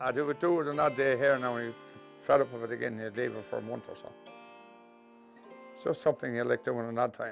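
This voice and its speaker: A man with a medium pitch talks at a very fast pace, broken by long, frequent pauses, with fairly even intonation. His loudness swings widely, and music plays in the background. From Kells, County Meath, Ireland. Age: 70s. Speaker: retired Traveller tinsmith. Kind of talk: interview answer.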